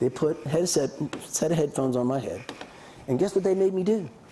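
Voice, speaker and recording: With noticeable background noise behind him, a man speaks at a moderate pace in a fairly high pitch, with ordinary pitch variation. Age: 60s. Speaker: business school lecturer. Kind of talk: lecture. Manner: occasional pauses to swap words.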